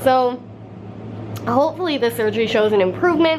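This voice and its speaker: A woman speaks at a very fast pace in a high voice, her pitch varying in an ordinary way over noticeable background noise. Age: 20s. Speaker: beauty and lifestyle vlogger. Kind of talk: casual talk to camera.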